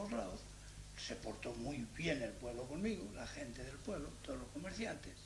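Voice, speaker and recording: Noticeable background noise and audible room echo surround talking delivered at a moderate pace. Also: man. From Spain, Salamanca province. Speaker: Spanish immigrant interviewee. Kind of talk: interview storytelling.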